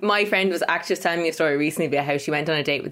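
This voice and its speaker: Speech in an Irish accent comes at a very fast pace with ordinary pitch variation. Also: woman. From Ireland. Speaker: podcast co-host.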